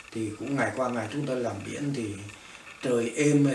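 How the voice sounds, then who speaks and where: Speaking at a fairly slow pace in a Northern Vietnamese accent, a man with a medium-pitched voice is heard over noticeable background noise and audible room echo. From northern Vietnam, Móng Cái. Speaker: refugee, former fisherman. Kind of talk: oral history interview. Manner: halting, many fillers.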